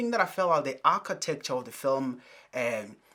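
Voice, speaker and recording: A man's fairly high-pitched voice, bright and sharp in tone, with ordinary pitch variation. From Africa. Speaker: film reviewer. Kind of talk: casual video review monologue. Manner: conversational, with fillers.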